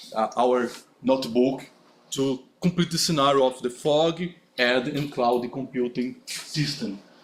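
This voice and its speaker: A man speaks at a fairly slow pace with a medium pitch and ordinary pitch variation. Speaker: conference speaker. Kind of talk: conference talk with Q&A. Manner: halting.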